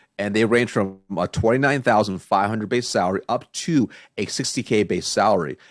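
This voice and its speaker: A man with an American accent, fairly low in pitch, with ordinary pitch variation, on a very clean recording against a silent background. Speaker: sales coach and consultant. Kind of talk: podcast interview. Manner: fast.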